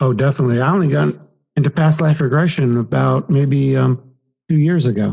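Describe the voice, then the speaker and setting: A man talks at a fairly quick pace in a fairly high, somewhat breathy voice with a dark, mellow tone, very even loudness and ordinary pitch variation. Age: 60s. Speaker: past life regression hypnotist and author. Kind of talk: podcast interview.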